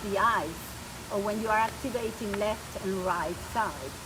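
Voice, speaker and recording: A woman with a Spanish accent and medium pitch at a fairly slow pace, with audible room echo and noticeable background noise. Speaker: spiritual coach. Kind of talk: presentation. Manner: halting.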